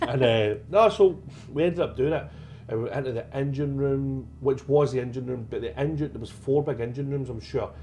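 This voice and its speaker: A man with a Scottish accent speaks at a fairly quick pace and a fairly high pitch. His pitch variation is ordinary, and background noise is noticeable. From Scotland, Glasgow. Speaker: paranormal investigator. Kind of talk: casual chat.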